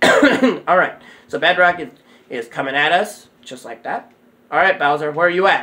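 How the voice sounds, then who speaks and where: Noticeable background noise underlies speech that moves at a moderate pace. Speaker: gaming YouTuber. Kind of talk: gameplay commentary. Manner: halting.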